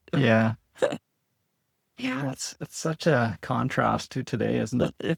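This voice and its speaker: This man has a medium pitch and vocal fry, with ordinary pitch variation. He speaks very slowly with long, frequent pauses, in a dry, close sound with no echo. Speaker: agricultural analyst and podcast host. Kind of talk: interview questions.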